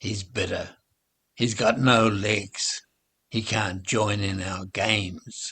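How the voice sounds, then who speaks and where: A man puts on a growling, raspy character voice at fairly low pitch. He speaks at a very slow pace. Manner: friendly, sympathetic.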